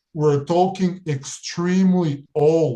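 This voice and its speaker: With ordinary pitch variation, a man talks in a somewhat breathy voice of dark, mellow tone. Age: 30s. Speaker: remote viewer and spiritual practitioner. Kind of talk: interview monologue.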